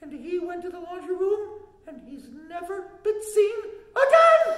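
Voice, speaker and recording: An extremely high-pitched, cartoonish character voice rings out with a clear echo. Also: moderate pace. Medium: puppet.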